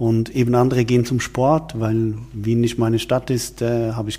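The voice has a dark, mellow tone and is somewhat breathy. It moves at a moderate pace with monotone, flat intonation. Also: man. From Switzerland. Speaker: wine event organizer, former media executive. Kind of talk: interview. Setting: office, in person.

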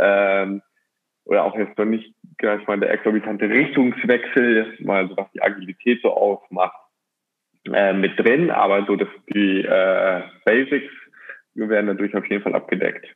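A man with a fairly low voice speaks at a fairly slow pace. His intonation is fairly even, with long, frequent pauses. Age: 40s. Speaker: sports scientist. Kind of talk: casual podcast interview. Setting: at home.

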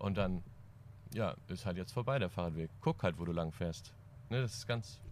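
Pitched fairly low, this man talks at a moderate pace in a normal speaking voice. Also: ordinary pitch variation. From East Frisia, northern Germany. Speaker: band drummer. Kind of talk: casual chat.

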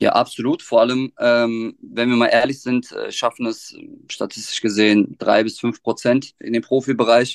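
Moderate pace from a man, in a dry, close sound with no echo. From Germany, Offenbach (Hesse). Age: 30s. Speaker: teacher and youth football coach. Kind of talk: podcast interview. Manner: hesitant, many filler sounds.

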